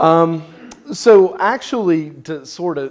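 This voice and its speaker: A man with a Southern US accent. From US South, Tennessee, rural. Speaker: researcher presenting on atheism. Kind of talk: lecture. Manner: halting, many fillers and repeats.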